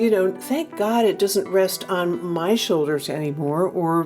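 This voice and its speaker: Over music in the background, a woman with an American accent speaks fairly slowly at a medium pitch, her intonation lively. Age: 70s. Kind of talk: podcast interview answer.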